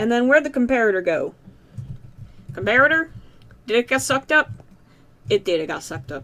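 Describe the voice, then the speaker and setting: Speaking with a slight Southern US accent, a woman uses a fairly high pitch and lively intonation. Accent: slight southern US tinge. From Massachusetts, US. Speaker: gaming YouTuber. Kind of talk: let's play commentary. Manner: hesitant, many fillers and repeats.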